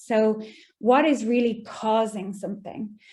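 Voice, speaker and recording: A woman with an Irish accent speaks at a fairly slow pace, her voice somewhat breathy with a fairly high pitch and a dark, mellow tone. Her intonation stays fairly even, and the recording is very clean with a silent background. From Ireland. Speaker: data scientist, guest speaker. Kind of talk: lecture.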